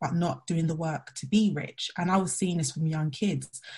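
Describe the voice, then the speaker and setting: Somewhat breathy, a woman with a London accent speaks at a fairly quick pace with ordinary pitch variation. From Southeast London. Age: 30s. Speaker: money mindset coach. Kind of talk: webinar interview.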